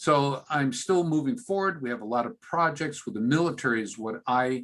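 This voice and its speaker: A man's normal speaking voice, fairly high in pitch, with lively intonation at a moderate pace. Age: 60s. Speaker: physician. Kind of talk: interview.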